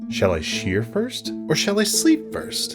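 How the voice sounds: A man's put-on character voice, high-pitched with very wide pitch swings, at a slow pace over faint music in the background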